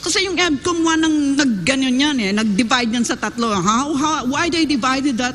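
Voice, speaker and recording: Against noticeable background noise and audible room echo, a woman talks at a fairly quick pace with hardly any pauses. Her high voice has an animated tone, lively intonation and very even loudness. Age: 70s. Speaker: educator. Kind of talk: panel discussion.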